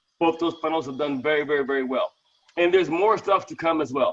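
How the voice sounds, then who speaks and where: A loud man talks in a high pitch with ordinary pitch variation. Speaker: network marketing team leader. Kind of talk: Q and A on a live video call. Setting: video call. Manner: fast.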